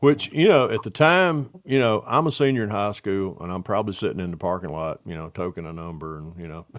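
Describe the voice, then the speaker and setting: Fairly quick speech with hardly any pauses, very wide pitch swings and big swings in loudness, on a very clean recording with a silent background. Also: man, fairly low pitch for a man. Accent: Southern US. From US South, Atlanta area, Georgia. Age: 60s. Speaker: scale model builder, livestream host. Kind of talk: casual chat.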